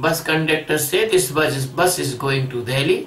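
A man uses a raised, projected voice at a fairly slow pace. Audible room echo surrounds it. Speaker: spiritual teacher. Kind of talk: lecture. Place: home room.

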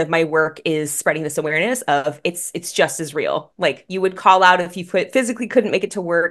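A woman speaks at a fairly quick pace in a fairly low voice against a quiet background. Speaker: guest. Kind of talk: interview answer. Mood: warm, upbeat. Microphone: video call.

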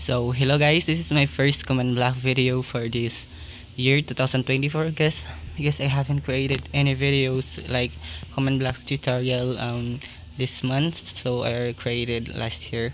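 Noticeable background noise surrounds a man whose fairly slow delivery carries lively intonation. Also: medium pitch for a man. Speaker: Minecraft YouTuber. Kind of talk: tutorial. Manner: halting, apologetic.

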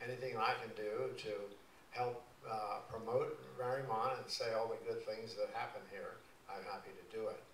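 A man speaks at a moderate pace. Light background noise and audible room echo can be heard. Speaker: guest. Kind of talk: talk to a civic association. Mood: warm, humorous storytelling. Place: church.

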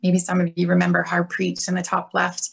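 A woman with a Canadian accent at a fairly quick pace, over a quiet background. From Canada, Alberta. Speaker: police officer. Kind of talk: workshop presentation. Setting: video call. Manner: casual. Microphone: video call.

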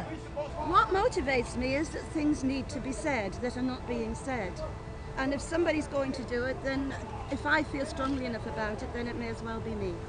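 A woman amid loud background noise, in a dry sound with no echo. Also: moderate pace. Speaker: public speaker at speaker's corner. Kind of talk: street speaking / interview answer. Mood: earnest, firm conviction. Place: garden.

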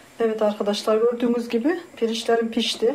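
There is light noise in the background. A woman speaks at a moderate speed. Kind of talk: tutorial. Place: kitchen. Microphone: camera far.

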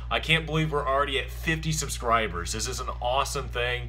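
Music plays in the background. A man speaks at a moderate pace. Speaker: vlogger. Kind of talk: casual vlog chat. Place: home room. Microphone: webcam.

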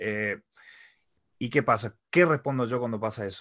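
The background stays quiet. A man speaks at a fairly slow pace. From Argentina. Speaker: web show interviewer. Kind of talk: interview. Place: home room. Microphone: studio mic.

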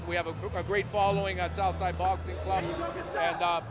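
Noticeable background noise runs under a man talking at a moderate speed. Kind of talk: interview answer. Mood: upbeat, proud. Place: hall. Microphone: handheld.

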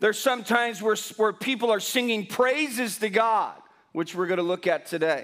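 Against a quiet background, a man talks fairly quickly in a high pitch with ordinary pitch variation. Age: 50s. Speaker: pastor. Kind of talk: sermon. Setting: church. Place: church.

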